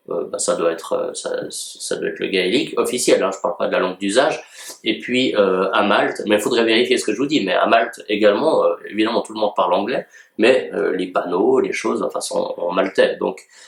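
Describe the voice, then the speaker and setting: A man talks fairly quickly, with noticeable noise audible behind him. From Switzerland, canton of Vaud. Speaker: journalist and commentator. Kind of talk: commentary on a read-out editorial. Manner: hesitant, many fillers. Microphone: no microphone, built-in audio.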